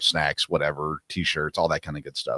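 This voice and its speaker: A man speaks at a moderate pace with a Tennessee accent. The recording is very clean with a silent background and a dry, close sound with no echo. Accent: US Southern (Tennessee). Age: 40s. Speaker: sports podcast host. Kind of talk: casual interview chat.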